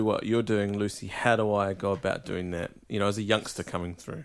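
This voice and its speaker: This man talks at a fairly quick pace with a New Zealand accent. The recording is very clean, with a silent background. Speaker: podcast host. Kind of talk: casual interview.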